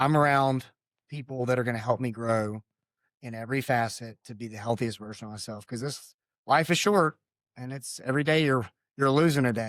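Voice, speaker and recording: A man's unremarkable speaking voice at medium pitch, with ordinary pitch variation, a fairly quick pace and big swings in loudness, on a very clean recording with a silent background. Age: 40s. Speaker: retired marine officer, nonprofit founder. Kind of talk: interview. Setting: studio.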